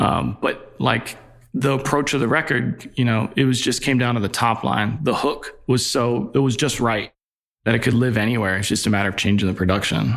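A man with an American accent talks at a moderate pace and medium pitch, with ordinary pitch variation. His loudness stays very even, and vocal fry comes through. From Virginia, Newport News. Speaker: record label A&R executive. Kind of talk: casual interview.

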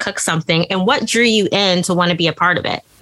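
Speaking at a fairly quick pace, a woman has a plain, everyday voice at medium pitch with ordinary pitch variation. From US Midwest, Indiana. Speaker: podcast host. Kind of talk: casual interview.

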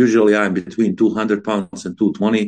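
Using a Bosnian accent, a man talks at a fairly quick pace. His fairly low pitch has a dark, mellow tone. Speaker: former contest singer. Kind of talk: interview.

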